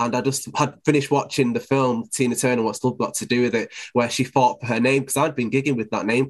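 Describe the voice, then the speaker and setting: A man talks at a very fast pace with a medium pitch. He speaks in a Mancunian accent. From Manchester, England. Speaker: DJ and presenter. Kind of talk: casual interview.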